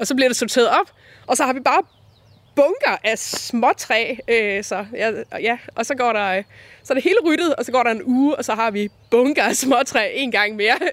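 Lively intonation and a moderate pace in a woman's high voice. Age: 40s. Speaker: designer and folk high school teacher. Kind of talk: interview. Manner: hesitant, many fillers.

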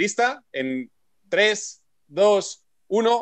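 Here a man speaks in an animated tone at a high pitch. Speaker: radio host and olympic bobsleigh pilot. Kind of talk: radio show hosting.

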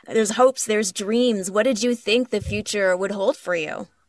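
A woman's plain, everyday voice, fairly high in pitch with ordinary pitch variation, at a moderate pace, with a dry, close sound with no echo. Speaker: podcast co-host. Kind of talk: interview.

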